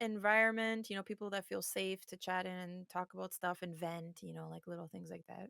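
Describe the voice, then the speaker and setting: In an Armenian accent, a woman talks at a moderate pace and medium pitch, her loudness swinging widely, in a dry, close recording with no echo. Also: hardly any pauses. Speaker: streamer. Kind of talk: casual chat.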